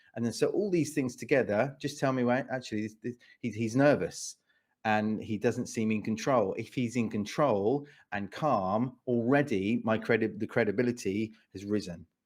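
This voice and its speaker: A man speaks in a southern English accent at a medium pitch and a moderate pace. His pitch varies in an ordinary way, and the recording is very clean with a silent background. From England, Watford. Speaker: speaker and pitch coach. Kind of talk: interview. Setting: podcast. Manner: repetitive, halting with restarts.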